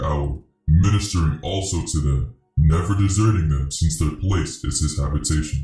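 A man's put-on character voice, very deep and low in pitch, with a calm, solemn tone and a slight echo. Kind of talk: dramatized scripture reading. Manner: calm, solemn, authoritative.

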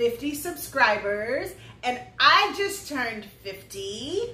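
A woman speaks in a raised, projected voice, with audible echo in the room. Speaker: mother co-host. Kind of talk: casual vlog chat. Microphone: camera far.

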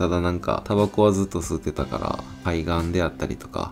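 With a Kansai accent, a man talks fairly quickly in a relaxed tone, his very deep, low voice showing ordinary pitch variation over clear background music. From Kyoto, Kansai region. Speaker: smoking vlogger. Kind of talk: casual talk to camera. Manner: relaxed, chatty. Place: street.

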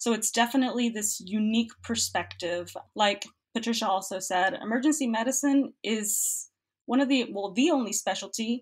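A somewhat breathy woman's voice with an American accent, fairly high in pitch, at a moderate pace with ordinary pitch variation, on a very clean recording with a silent background. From Cuba, raised in the US. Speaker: medical student. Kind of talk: interview.

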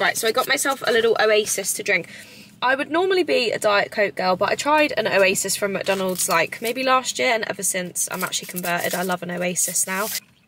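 A woman at a very fast pace with lively intonation, dry sound with no echo and light background noise. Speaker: vlogger. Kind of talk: casual vlog chat. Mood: chatty, excited. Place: car. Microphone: phone near.

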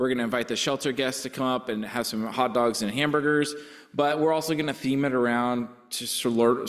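In a quiet background, a man talks at a moderate pace with fairly even intonation. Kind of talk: church announcements. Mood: cheerful, relaxed. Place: church. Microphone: podium.

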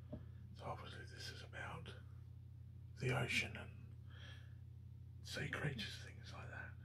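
Speech comes at a fairly slow pace with long, frequent pauses over noticeable background noise. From Australia. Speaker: ASMR creator. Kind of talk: ASMR page-turning, casual commentary.

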